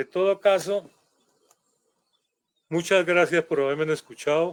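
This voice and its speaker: The dry, close recording with no echo captures a man speaking at a fairly slow pace in a high pitch. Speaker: historian and author. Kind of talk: guest talk in a live online event. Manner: intense, animated.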